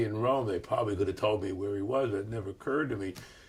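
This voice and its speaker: The voice is somewhat breathy, with a New York accent. Its pitch varies in an ordinary way. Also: man. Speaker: professor and author. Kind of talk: interview storytelling. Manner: hesitant, many fillers.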